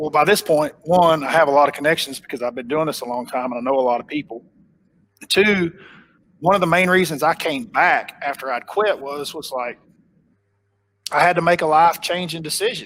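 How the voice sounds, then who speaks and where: In a strong Oklahoma accent, a man with a fairly high pitch talks at a fairly quick pace, broken by long, frequent pauses. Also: ordinary pitch variation. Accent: thick Oklahoma. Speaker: professional bass angler. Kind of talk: casual interview chat. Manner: conversational, with fillers and repetitions.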